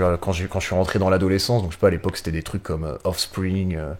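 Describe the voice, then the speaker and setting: This man has a very deep, low pitch and a very fast pace. His intonation stays fairly even. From northern France, Pas-de-Calais near Cambrai. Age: 30s. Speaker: music booker and festival organizer, drummer. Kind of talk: podcast interview.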